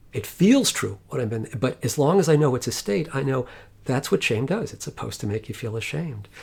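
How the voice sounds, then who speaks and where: With lively intonation and a somewhat breathy sound, a man talks fairly quickly. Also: medium pitch for a man. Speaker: psychologist and meditation teacher. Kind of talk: interview conversation.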